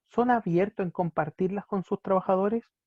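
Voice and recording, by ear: A man talks at a fairly quick pace, with a dry, close sound and no echo.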